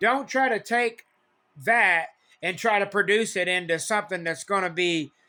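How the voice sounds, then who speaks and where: With an animated, bright, sharp tone, a man with a high pitch uses a raised, projected voice at a moderate pace on a very clean recording with a silent background. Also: ordinary pitch variation. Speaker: CB radio hobbyist. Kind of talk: casual talk to camera. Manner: animated, repetitive.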